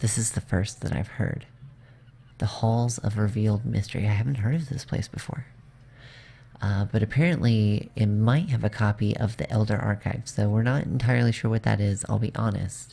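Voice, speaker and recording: The voice is quiet and moves at a fairly quick pace. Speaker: gaming video creator. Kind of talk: let's play commentary. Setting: home, evening stream. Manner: quiet, kept down.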